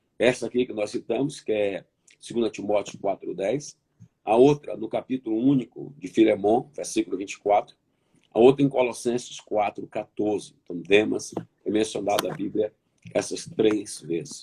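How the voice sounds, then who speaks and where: A man's medium-pitched, dark, mellow tone at a moderate pace, with ordinary pitch variation and a dry, close sound with no echo. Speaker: pastor. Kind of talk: sermon. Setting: online conference. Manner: repetitive, emphatic.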